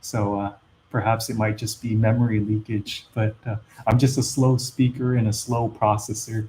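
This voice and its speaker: Somewhat breathy and dark, mellow in tone, a man speaks at a medium pitch with monotone, flat intonation. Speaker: investing YouTuber. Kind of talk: live stream Q&A. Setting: live stream. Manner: slow; hesitant, many fillers.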